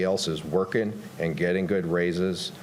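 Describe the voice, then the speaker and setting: The room audibly echoes as a man talks. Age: 60s. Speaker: county road maintenance supervisor giving public comment. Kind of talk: public comment at council meeting.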